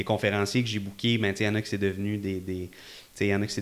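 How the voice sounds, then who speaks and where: A man speaks at a very fast pace with a fairly low pitch. The recording is very clean, with a silent background. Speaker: event entrepreneur. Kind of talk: casual interview chat. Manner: calm.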